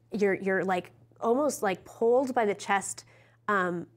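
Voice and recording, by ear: Ordinary pitch variation in someone reading aloud in a natural voice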